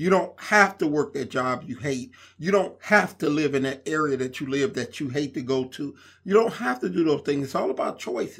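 In an American accent, a man with a fairly high pitch and lively intonation speaks at a moderate pace on a very clean recording with a silent background. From Inglewood, California (US West Coast). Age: 50s. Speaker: podcast host and fitness center owner. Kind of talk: casual monologue. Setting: recording alone on a laptop. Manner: hesitant, many fillers.

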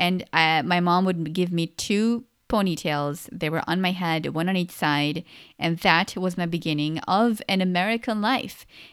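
A woman with a normal speaking voice talks at a moderate pace, her fairly low pitch showing ordinary variation on a very clean recording with a silent background. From Pakistan, moved to US at age 11. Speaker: podcast host. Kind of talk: solo personal talk podcast. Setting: solo recording. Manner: casual, conversational.

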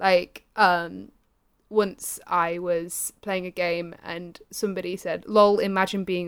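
On a very clean recording with a silent background, a woman with an English accent speaks with fairly even intonation. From Britain. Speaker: Twitch streamer. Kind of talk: casual chat. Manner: laughs often.

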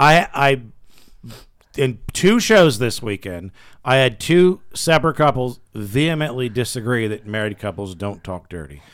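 In a very clean recording with a silent background, a man of medium pitch speaks in an ordinary speaking voice at a fairly slow pace, with lively intonation and big swings in loudness. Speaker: radio show host. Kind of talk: casual banter, comedy radio show. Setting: studio.

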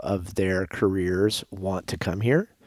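A man speaks with an American accent at a very deep, low pitch. His intonation stays fairly even, and the recording is very clean with a silent background. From Las Vegas, Nevada. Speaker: property developer. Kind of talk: casual interview.

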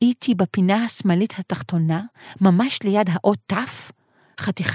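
Natural-voiced reading aloud over quiet surroundings, pitch varying in an ordinary way

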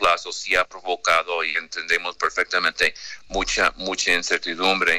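The voice is a man's, with an American accent. He talks fairly slowly. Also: dry, close sound with no echo. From United States. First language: English (speaking Spanish). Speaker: credit rating analyst. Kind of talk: radio interview. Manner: halting, many fillers.

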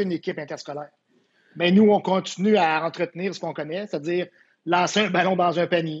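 Speaking in a Quebec accent, a man with a high pitch talks at a very fast pace yet takes long, frequent pauses, his intonation monotone and flat. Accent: Québécois French. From Quebec (Quebec City area). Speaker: volleyball coach. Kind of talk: casual interview.

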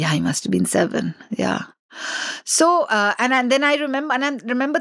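A woman speaks at a moderate pace against a quiet background, the sound dry and close with no echo. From India, Delhi. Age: 50s. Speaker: documentary filmmaker and children's author. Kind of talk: interview conversation.

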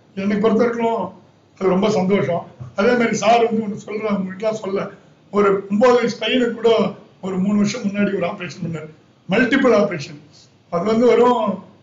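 Noticeable background noise and audible room echo surround a high-pitched man whose pitch varies in an ordinary way. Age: 50s. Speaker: kidney transplant patient. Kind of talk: testimony.

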